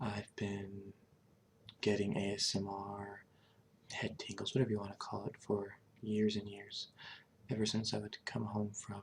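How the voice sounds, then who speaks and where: Somewhat breathy, a man's fairly low voice stays monotone and flat at a fairly slow pace. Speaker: ASMR creator and Hearthstone player. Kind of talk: ASMR gameplay narration. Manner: whispering, soft-spoken.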